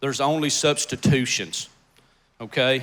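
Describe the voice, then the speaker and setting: At a fairly slow pace, the speaker comes through on a very clean recording with a silent background. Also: man. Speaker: agricultural speaker giving a talk. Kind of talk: casual, folksy presentation.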